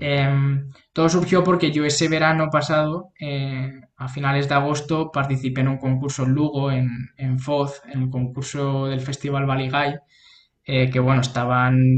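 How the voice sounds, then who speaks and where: A man's fairly high-pitched voice, monotone and flat in intonation, at a fairly slow pace. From Spain, Toledo. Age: 20s. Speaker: clarinetist. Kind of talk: interview.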